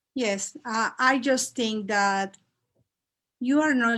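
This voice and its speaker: A woman with a Mexican accent is captured in a very clean recording with a silent background. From Mexico (Mexico City). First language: Spanish. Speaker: Spanish teacher. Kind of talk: interview. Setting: live video talk show.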